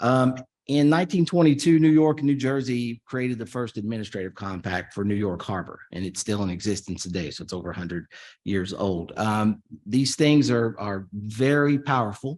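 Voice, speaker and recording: At a moderate pace, a man with a Kentucky accent speaks at a medium pitch with lively intonation. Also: quiet background. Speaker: policy expert on interstate compacts. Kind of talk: conference presentation. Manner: casual with frequent fillers.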